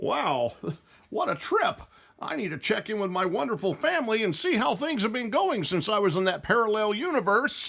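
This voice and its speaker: A man's cartoonish character voice, high in pitch, at a moderate pace. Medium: puppet show.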